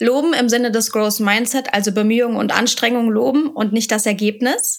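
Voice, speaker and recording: A woman speaks in an unremarkable speaking voice. Her pitch is fairly high and her intonation fairly even. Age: 30s. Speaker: vocational school teacher. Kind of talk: podcast interview.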